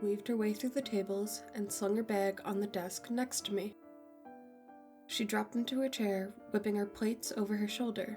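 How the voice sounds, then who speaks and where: A woman's medium-pitched voice at a moderate pace, with ordinary pitch variation, very even loudness and music in the background. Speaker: horror story narrator. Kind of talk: horror story narration, first-person.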